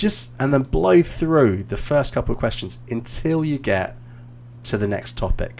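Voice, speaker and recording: This voice carries a British accent. The delivery moves fairly slowly. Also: man. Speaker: English teacher and exam coach. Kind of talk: live stream feedback session. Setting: video call. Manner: halting.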